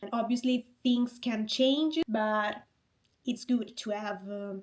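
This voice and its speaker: A somewhat breathy voice with an Italian accent at a very slow pace. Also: woman. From Italy (Rome). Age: 20s. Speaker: fitness coach and content creator. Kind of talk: vlog monologue.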